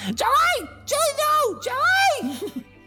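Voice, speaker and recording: A squeaky, put-on character voice comes through. Loud music plays in the background. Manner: sharp, stern.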